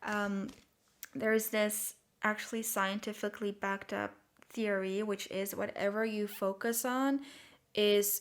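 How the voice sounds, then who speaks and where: In a very clean recording with a silent background, a woman with a non-native accent talks at a medium pitch. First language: not English. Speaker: tarot reader. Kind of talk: tarot reading monologue. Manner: hesitant, many fillers.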